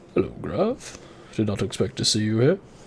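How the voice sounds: Over clear background noise, a man does a put-on character voice at a medium pitch. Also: moderate pace.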